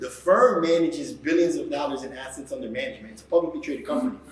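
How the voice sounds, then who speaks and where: A man is speaking over noticeable background noise. Room echo is audible. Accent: American. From New York City. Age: 40s. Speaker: professor and podcast host. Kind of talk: introduction to a live class talk. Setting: live at a university with student audience.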